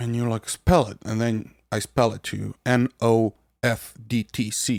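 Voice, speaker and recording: Speaking with a non-native accent, a man uses a medium pitch and monotone, flat intonation at a fairly slow pace, his loudness swinging widely in a dry, close sound with no echo. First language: not English. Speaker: podcast host, software developer. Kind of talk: casual podcast talk.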